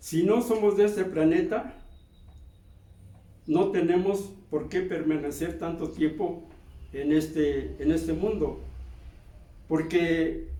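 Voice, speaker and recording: A dark, mellow voice moves at a very slow pace with ordinary pitch variation, heard with audible room echo. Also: man. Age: 80s+. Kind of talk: sermon. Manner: halting.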